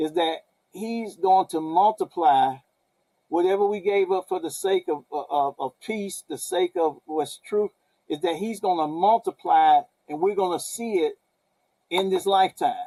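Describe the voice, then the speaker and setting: At a fairly slow pace, a man speaks with a high pitch, a dark, mellow tone and ordinary pitch variation, in a dry, close sound with no echo. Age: 60s. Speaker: guest sharing faith testimony. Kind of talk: testimony. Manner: halting, many repetitions.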